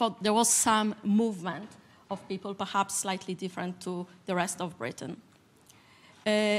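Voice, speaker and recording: A woman speaks with a Polish accent. Her pitch is medium, and her pace is moderate. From Poland. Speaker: civil society leader, panelist. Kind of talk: panel discussion statement. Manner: halting.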